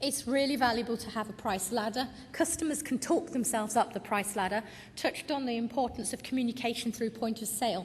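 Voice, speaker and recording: A woman with a British accent talks very fast in a fairly high voice. Her pitch moves in an ordinary way. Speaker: retail consultant. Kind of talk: conference presentation.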